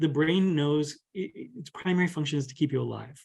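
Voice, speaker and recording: A man with an American accent and a fairly high pitch talks at a fairly quick pace, his voice somewhat breathy with ordinary pitch variation. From US South. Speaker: spiritual teacher and healer. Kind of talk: casual podcast interview.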